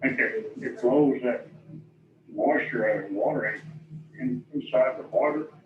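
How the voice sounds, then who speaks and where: A man speaks at a moderate pace with long, frequent pauses, over noticeable background noise. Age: 70s. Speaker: property owner protesting taxes. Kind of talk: testimony at hearing.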